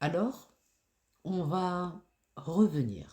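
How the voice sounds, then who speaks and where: A man is talking. There's a somewhat breathy quality to his voice. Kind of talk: guided self-care reflection voice-over. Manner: slow, soft-spoken.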